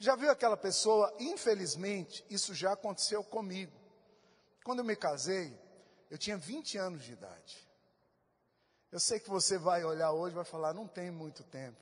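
A man with a high voice talks at a moderate pace, using lively intonation and big swings in loudness, broken by long, frequent pauses. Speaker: pastor. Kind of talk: sermon. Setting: church. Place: church. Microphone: handheld.

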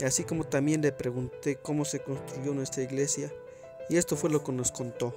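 This man's voice sits fairly high in pitch, with music playing in the background. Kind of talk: casual vlog intro to camera.

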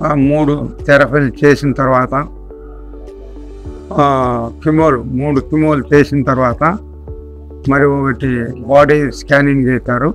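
A man's fairly high voice with fairly even intonation and faint music in the background. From Nandyal, Kurnool district, Andhra Pradesh, India. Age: 70s. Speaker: retired army man, cancer patient. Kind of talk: patient testimonial. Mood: calm, matter-of-fact.

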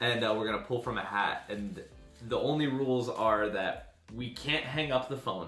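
A man at a moderate pace with ordinary pitch variation, faint music in the background and audible room echo. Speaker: vlogger. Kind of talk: casual vlog chat. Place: home room. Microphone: camera far.

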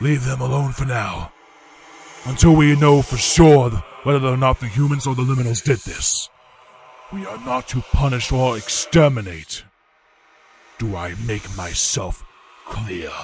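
A man does a put-on character voice at a medium pitch. He moves at a moderate pace with long, frequent pauses. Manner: stern, authoritative.

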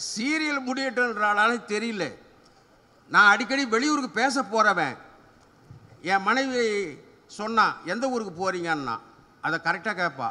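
A man's raised, projected voice, high-pitched, with lively intonation. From Tamil Nadu. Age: 70s. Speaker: humour speaker; speaker. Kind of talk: stand-up. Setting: stage with audience. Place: open country. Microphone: podium.

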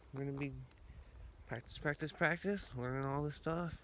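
With fairly even intonation, a man speaks amid audible room echo.

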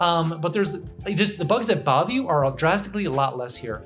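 Faint music lingers in the background. A man speaks over it at a very fast pace. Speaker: local real estate vlogger. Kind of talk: casual vlog chat. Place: home room.

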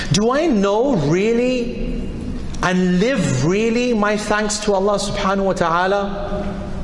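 The recording has light background noise and an audible echo from the room. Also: man. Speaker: preacher. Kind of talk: sermon. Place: hall. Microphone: podium.

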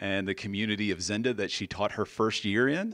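A man speaks at a moderate pace with a fairly low pitch and fairly even intonation against a quiet background. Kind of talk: introductory speech. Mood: warm, smiling. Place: hall. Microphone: handheld.

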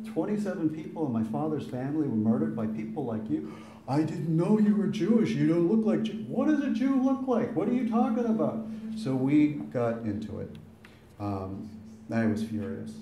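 A man with a Boston accent at a fairly high pitch and moderate pace, with very wide pitch swings and audible room echo. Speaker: son of the deceased giving eulogy; speaker. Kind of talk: eulogy. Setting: funeral with audience. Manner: talkative. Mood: recounting an angry exchange. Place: hall. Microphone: camera far.

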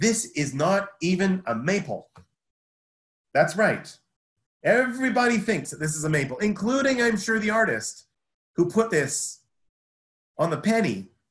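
A man with a Canadian accent at a high pitch, very wide pitch swings, a fairly slow pace and long, frequent pauses. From North Vancouver, British Columbia, Canada. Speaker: horticulture instructor. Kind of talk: webinar lecture with slides. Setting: video call.

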